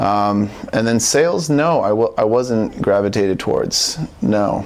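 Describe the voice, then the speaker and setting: Speaking with a West Coast accent at a fairly slow pace, a man keeps a medium pitch and very even loudness over noticeable background noise. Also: ordinary pitch variation. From Portland, Oregon. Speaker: salesperson. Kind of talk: casual interview.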